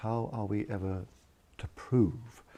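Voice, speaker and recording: Soft-spoken and somewhat breathy, the man has a fairly low voice with a dark, mellow tone. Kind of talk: sleep story.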